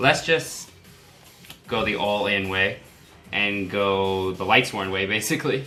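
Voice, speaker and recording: A man speaks at a fairly slow pace and a fairly low pitch, with ordinary pitch variation and long, frequent pauses, while music plays in the background and room echo is audible. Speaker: card game YouTuber. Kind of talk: gameplay tutorial. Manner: casual.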